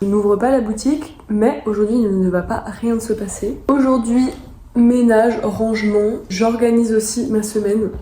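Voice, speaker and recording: At a fairly slow pace and with ordinary pitch variation, the speaker has an animated tone over audible room echo and noticeable background noise. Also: woman. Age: 20s. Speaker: vlogger and thrift shop owner. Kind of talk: casual vlog narration.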